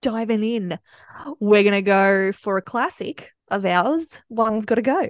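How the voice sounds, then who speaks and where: In an Australian accent, a woman talks at a fairly slow pace. Her voice is fairly high with ordinary pitch variation. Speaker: podcast host. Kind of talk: casual chat.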